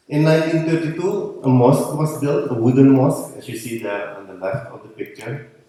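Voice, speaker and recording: Fairly quick male speech with noticeable room echo. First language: Dutch. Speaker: conference speaker. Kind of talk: conference talk. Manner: halting.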